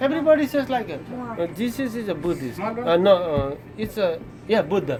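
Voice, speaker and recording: A speaker with a strong Nepali accent talks at a moderate pace, the pitch swinging very widely. Noticeable background noise runs underneath. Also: man, high pitch for a man. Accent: heavy Nepali. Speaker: gas station worker. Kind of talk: interview answer. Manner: easy going, friendly.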